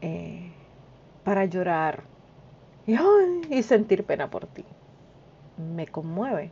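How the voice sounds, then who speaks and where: A woman with a medium-pitched, somewhat breathy voice speaks at a very slow pace, with lively intonation and long, frequent pauses. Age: 50s. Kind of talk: devotional talk. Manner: informal, direct address to listener.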